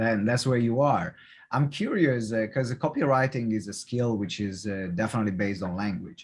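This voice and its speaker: A man with a non-native accent, a fairly low pitch and ordinary pitch variation at a moderate pace, in a very clean recording with a silent background. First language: not English. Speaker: podcast host. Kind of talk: podcast interview.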